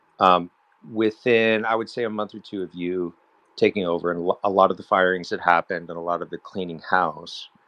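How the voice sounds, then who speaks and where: A man speaks at a fairly quick pace. His very deep, low pitch carries fairly even intonation. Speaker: lawsuit plaintiff. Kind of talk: question from audience. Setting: online audio space. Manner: formal.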